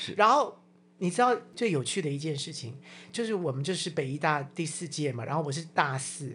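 A fairly quick pace against a quiet background. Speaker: podcast co-host. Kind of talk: casual chat.

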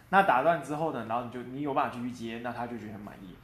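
A man talks at a very fast pace with a medium pitch. Room echo is audible. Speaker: quality assurance engineer. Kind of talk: interview. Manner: hesitant with fillers.

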